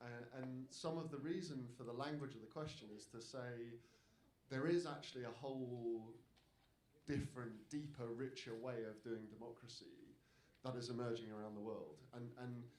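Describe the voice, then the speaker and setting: The speaker has a British accent and ordinary pitch variation. Room echo is audible. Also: man, medium pitch for a man, moderate pace. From Britain. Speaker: democracy campaigner, panelist. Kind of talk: panel talk. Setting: stage with audience. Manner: repetitive false starts.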